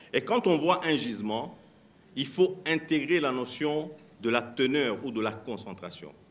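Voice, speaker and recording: Lively intonation comes from a man with a fairly high pitch at a very slow pace. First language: a Congolese language (speaking French). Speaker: mining company executive. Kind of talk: panel discussion answers.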